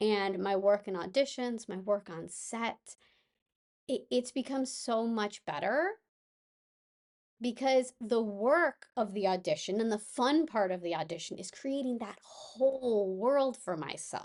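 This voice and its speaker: Against a quiet background, a woman with a normal speaking voice talks at a fairly slow pace, fairly high in pitch with lively intonation. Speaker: actress and mindfulness coach. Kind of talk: casual podcast talk.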